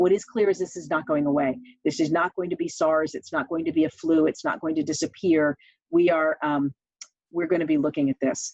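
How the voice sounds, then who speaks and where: A woman with an American accent, very deep and low in pitch, at a fairly quick pace with fairly even intonation, in a dry, close sound with no echo. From New York. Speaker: church elder and scientist presenter. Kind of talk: webinar presentation. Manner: fast.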